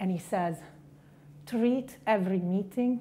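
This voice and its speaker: A woman with a strong Italian accent speaks in a somewhat breathy, dark and mellow voice at medium pitch, with ordinary pitch variation. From Italy, Milan. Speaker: investment banker, conference speaker. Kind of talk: keynote speech. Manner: direct.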